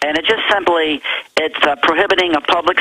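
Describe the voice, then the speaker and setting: There is noticeable background noise. Over it, a man speaks at a moderate pace with ordinary pitch variation. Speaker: state legislator. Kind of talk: talk radio interview.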